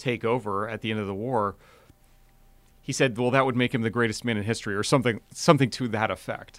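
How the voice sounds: An ordinary speaking voice from a man, medium in pitch with ordinary variation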